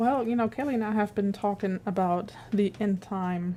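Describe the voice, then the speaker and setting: A woman speaks with a German accent in a dark, mellow tone. Her pace is moderate and her intonation fairly even. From Germany. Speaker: guest co-host. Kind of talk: casual chat.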